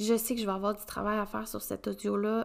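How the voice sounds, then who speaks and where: With a Quebec accent, a woman speaks at a moderate pace and medium pitch. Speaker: podcast host, women's coach. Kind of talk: solo podcast monologue.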